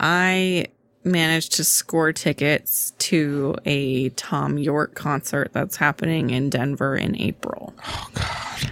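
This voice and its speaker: Soft-spoken and very slow, a woman talks at a very deep, low pitch with ordinary pitch variation, in a dry, close sound with no echo. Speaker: podcast co-host. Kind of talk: casual chat.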